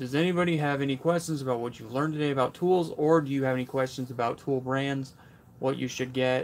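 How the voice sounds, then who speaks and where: Mumbling at a very fast pace, the voice keeps a fairly even intonation. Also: man, fairly high pitch for a man. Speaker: tool review youtuber. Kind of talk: live stream Q&A. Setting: workshop. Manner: casual.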